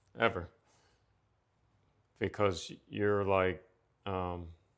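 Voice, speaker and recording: A man speaks at a very slow pace in a fairly low pitch, on a very clean recording with a silent background. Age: 60s. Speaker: retired state police officer. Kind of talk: casual chat. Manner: halting.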